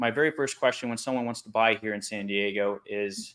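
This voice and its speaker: With a bright, sharp tone, a man speaks at a fairly quick pace in a fairly low pitch and fairly even intonation. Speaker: loan officer. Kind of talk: casual chat. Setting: video call.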